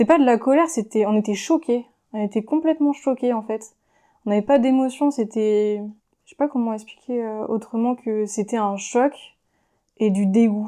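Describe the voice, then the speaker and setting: Her tone dark and mellow, a woman talks at a moderate pace and a fairly high pitch with ordinary pitch variation and long, frequent pauses, in a very clean recording with a silent background. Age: 20s. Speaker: feminist activist, tourism worker. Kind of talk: podcast interview answer. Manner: hesitant, casual.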